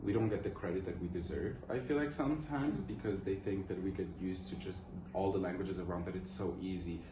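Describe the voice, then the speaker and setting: With a Portuguese accent, a man talks at a very fast pace with a very deep, low pitch and lively intonation, amid noticeable background noise and audible room echo. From Luxembourg. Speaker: student interviewee. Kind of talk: interview answers.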